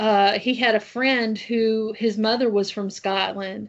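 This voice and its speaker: With a Southern US accent, a woman speaks at a fairly high pitch and a fairly slow pace. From US South. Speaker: podcast host. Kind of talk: interview.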